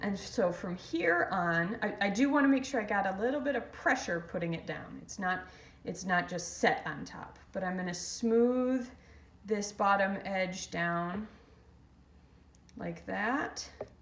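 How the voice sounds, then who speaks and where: A woman at a fairly slow pace with ordinary pitch variation, amid audible room echo and noticeable background noise. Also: medium pitch for a woman. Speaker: ceramics instructor. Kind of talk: tutorial. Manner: halting.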